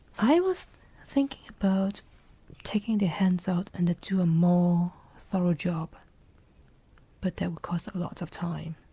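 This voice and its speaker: This soft-spoken voice has a relaxed tone and a fairly slow pace. Long pauses come often. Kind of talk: soft-spoken ASMR ramble about a watch modding project. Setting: indoors at a workbench. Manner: soft-spoken, slow, relaxed.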